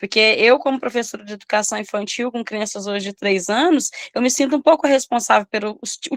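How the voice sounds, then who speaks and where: A woman speaks quickly in an ordinary speaking voice, her pitch fairly high with ordinary variation. The sound is dry and close, with no echo. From Minas Gerais, Brazil. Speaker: preschool teacher. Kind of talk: study group discussion.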